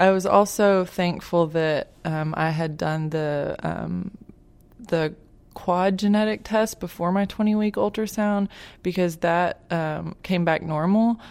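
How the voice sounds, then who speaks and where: Her voice sits fairly low for a woman, with ordinary pitch variation. She talks at a fairly slow pace. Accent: Arkansas. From Arkansas, Little Rock. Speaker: patient's parent. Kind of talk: interview testimony. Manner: hesitant, many fillers.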